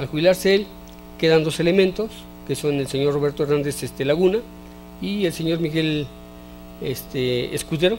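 A man speaks at a moderate pace with ordinary pitch variation and long, frequent pauses, over light background noise. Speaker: interview guest. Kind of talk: interview answer. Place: studio. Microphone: handheld.

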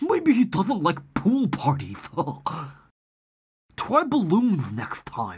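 In a put-on character voice, a man speaks at a very slow pace, pitched high with very wide pitch swings and a slightly mellow tone.

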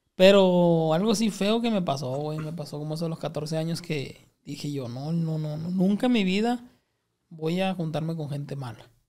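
A man's fairly high, dark, mellow voice in a northern Mexican accent, at a moderate pace with ordinary pitch variation, over a quiet background. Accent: northern Mexican (Sinaloa). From Culiacán, Sinaloa, Mexico; Sinaloa, Mexico. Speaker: comedian; podcast guest. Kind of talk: casual chat. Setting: studio. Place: studio. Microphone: studio mic.

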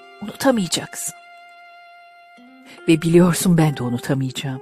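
A woman talks with a very deep, low pitch and lively intonation at a moderate pace. Music plays in the background. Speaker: amateur audiobook and poetry reader. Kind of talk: poetry reading with background music. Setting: home studio.

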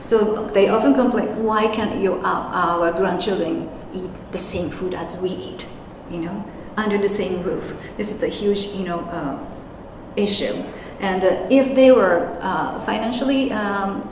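Light background noise and audible room echo fill the recording. A woman talks at a moderate pace with ordinary pitch variation. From Japan. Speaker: interpreter and anti-nuclear activist. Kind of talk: conference presentation. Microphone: handheld.

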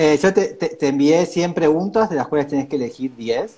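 Very wide pitch swings mark this man's speech. He talks at a moderate pace in a Rioplatense accent. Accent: Argentine Rioplatense Spanish. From Argentina. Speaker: interview host. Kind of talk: casual interview. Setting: live video stream. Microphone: earbuds.

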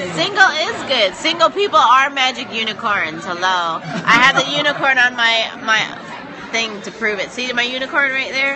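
The speech moves at a moderate pace. Noticeable background noise can be heard. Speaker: live streamer. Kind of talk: casual chat. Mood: playful, joking. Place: bar. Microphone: phone near.

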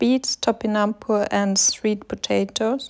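Dry and close with no echo on a very clean recording with a silent background, a woman with a non-native accent speaks fairly slowly at a fairly high pitch in a monotone, flat intonation. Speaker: food vlogger. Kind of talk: casual food vlog narration.

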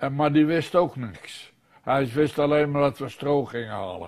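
A man talks with ordinary pitch variation, the background quiet. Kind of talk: interview answer. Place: home room.

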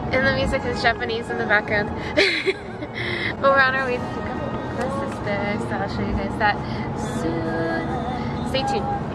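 Over loud background music, a woman talks at a fairly slow pace. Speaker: vlogger. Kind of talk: casual vlog chat. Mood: excited, smiling. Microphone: phone near.

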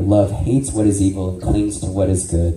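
A man speaks at a fairly low pitch. Room echo is audible. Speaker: ministry teacher. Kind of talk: sermon-style training lecture. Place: church.

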